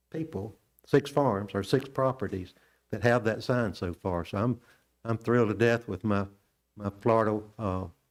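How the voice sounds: At a moderate pace, this man talks with a fairly low pitch.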